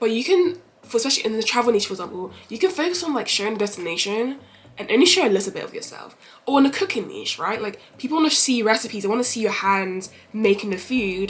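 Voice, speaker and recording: Speaking in a London accent, a woman races along at a very fast pace with lively intonation and a fairly high pitch. Noticeable background noise runs behind her. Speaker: travel content creator. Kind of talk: vlog Q&A.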